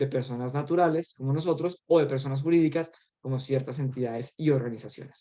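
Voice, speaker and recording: The man's intonation remains fairly even throughout. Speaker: trainer. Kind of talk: training presentation. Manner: fast.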